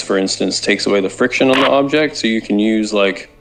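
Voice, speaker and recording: Noticeable background noise runs under this clip. A man of medium pitch speaks at a fairly quick pace. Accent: American. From Arizona, US. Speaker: gaming content creator and base builder. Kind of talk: casual chat. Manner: sounds angry.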